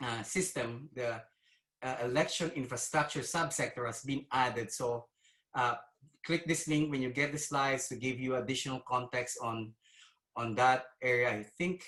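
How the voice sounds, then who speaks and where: In a bright, sharp tone, a man of medium pitch talks at a moderate pace with fairly even intonation. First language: not English. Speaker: cybersecurity executive. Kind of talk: conference presentation. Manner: hesitant, many fillers.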